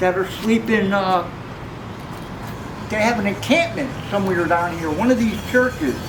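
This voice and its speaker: The speaker has an American accent and lively intonation, moving at a moderate pace with long, frequent pauses. Audible room echo and noticeable background noise are present. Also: man, high pitch for a man. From Bridgeport, Connecticut. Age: 60s. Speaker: former prisoner and passer-by. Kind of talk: street interview.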